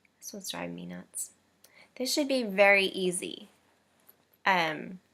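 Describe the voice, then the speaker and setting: A woman talks at a fairly slow pace. Her loudness swings widely. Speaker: knitting podcaster. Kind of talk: casual monologue. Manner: hesitant, many fillers.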